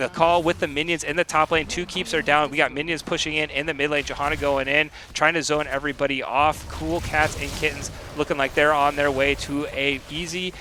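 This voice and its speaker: Noticeable background noise runs under the recording. A man talks at a fairly quick pace with a fairly high pitch. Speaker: esports caster. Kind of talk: live commentary. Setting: live stream. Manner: fast; animated.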